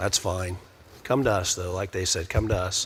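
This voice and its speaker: Here is a man with an American accent and a fairly low pitch. His intonation is fairly even. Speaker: police investigator. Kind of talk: panel discussion. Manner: halting.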